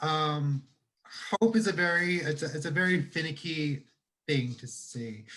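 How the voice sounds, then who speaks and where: A man with lively intonation at a fairly slow pace. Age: 30s. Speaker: two-spirit advocate and facilitator. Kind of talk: panel discussion. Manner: halting, many fillers.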